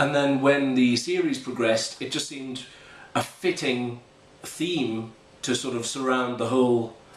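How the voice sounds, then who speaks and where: Over noticeable background noise and audible room echo, a man talks at a moderate pace and medium pitch. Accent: British. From Britain. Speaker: composer and narrator. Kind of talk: casual behind-the-scenes explanation. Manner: hesitant, many filler ums.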